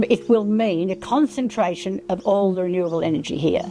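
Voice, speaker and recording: This woman has an Australian accent. Her voice sits at a medium pitch with ordinary pitch variation. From rural Victoria, Australia. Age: 80s+. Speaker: retired farmer and Landcare advocate. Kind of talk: interview answer.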